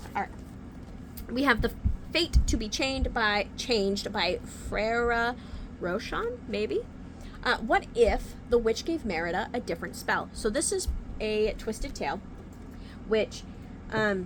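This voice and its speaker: A woman's fairly high voice with lively intonation, a fairly slow pace and long, frequent pauses, music playing in the background. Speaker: book youtuber. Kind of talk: casual book haul video. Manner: whispering at times.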